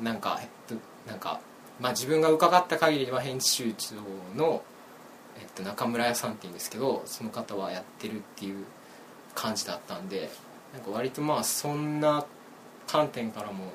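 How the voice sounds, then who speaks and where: A man talks with lively intonation and long, frequent pauses over noticeable background noise. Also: medium pitch for a man, moderate pace, big swings in loudness. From Hyogo, western part near Himeji. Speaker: student, critic of online culture. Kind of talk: casual chat.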